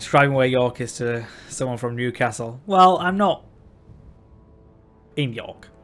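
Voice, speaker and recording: A man speaks at a medium pitch with lively intonation and a fairly slow pace. His delivery has long, frequent pauses, with music playing in the background. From West Yorkshire, England. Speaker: video game streamer. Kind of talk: live gameplay commentary and chat reading. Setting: live stream. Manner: casual, conversational.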